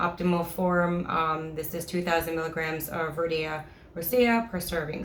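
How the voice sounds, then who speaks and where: Audible room echo surrounds a voice speaking at a moderate pace in a monotone, flat intonation. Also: woman. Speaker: supplement reviewer. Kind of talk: product review vlog. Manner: halting, many fillers.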